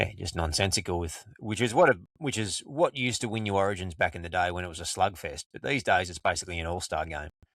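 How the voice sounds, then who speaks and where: Very fast, with hardly any pauses, a man with an Australian accent speaks at a very deep, low pitch with ordinary pitch variation and big swings in loudness in a very clean recording with a silent background. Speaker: podcast co-host. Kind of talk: casual chat.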